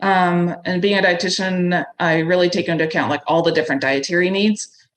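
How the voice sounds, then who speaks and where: At a fairly quick pace, a woman talks in a fairly low voice whose loudness stays very even. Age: 40s. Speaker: registered dietitian and backpacking food business owner. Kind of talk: podcast interview. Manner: fast; animated.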